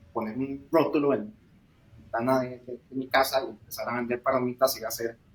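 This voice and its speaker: A man with a Costa Rican accent, medium pitch, moderate pace and fairly even intonation. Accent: Costa Rican accent, noticeable. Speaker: startup founder, industrial engineer. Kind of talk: interview.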